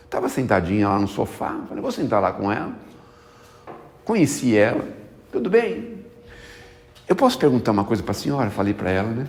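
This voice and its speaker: Speech at a moderate pace, broken by long, frequent pauses, plays over noticeable background noise. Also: man. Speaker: spiritist lecturer. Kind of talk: spiritist talk. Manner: conversational.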